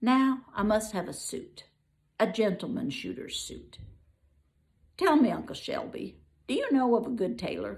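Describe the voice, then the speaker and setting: Putting on a character voice, a woman speaks at a moderate pace with a fairly high pitch and long, frequent pauses. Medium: read story. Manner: eager, excited.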